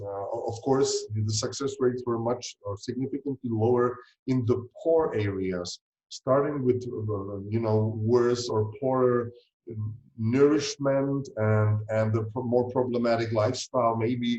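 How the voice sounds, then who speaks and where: With a Czech accent, a man speaks fairly slowly in a dark, mellow voice of medium pitch and fairly even intonation. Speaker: fertility doctor. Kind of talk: interview. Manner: hesitant, many fillers.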